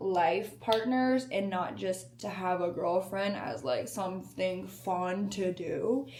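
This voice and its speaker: Ordinary pitch variation in a woman's speech, with audible room echo. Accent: American. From US South, Alabama. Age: 20s. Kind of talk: casual vlog talk to camera. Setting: indoors, new apartment.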